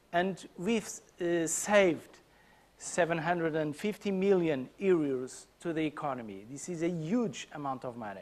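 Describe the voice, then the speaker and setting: This man has a Portuguese accent and a high pitch. He talks at a moderate pace with lively intonation. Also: big swings in loudness. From Portugal. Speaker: conference speaker. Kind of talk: conference talk. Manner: halting, many fillers.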